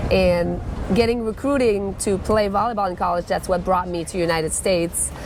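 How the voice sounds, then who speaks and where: Audible room echo and noticeable background noise around a woman at medium pitch, moderate pace and ordinary pitch variation. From Quebec, French Canada. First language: French. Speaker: former volleyball coach and CrossFit coach. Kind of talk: casual interview.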